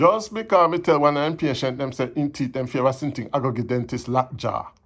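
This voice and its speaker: At a fairly quick pace, a man with a Jamaican accent and a fairly high pitch speaks over a quiet background. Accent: Jamaican Patois. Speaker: poetry reader. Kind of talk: poetry reading.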